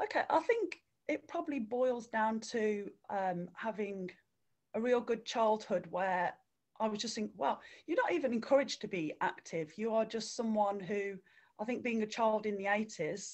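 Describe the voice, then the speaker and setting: Her West Midlands accent comes with lively intonation as the woman speaks. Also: fairly high pitch for a woman, moderate pace. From English Midlands (Redditch, near Birmingham). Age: 40s. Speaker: runner and swimming instructor. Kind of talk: interview.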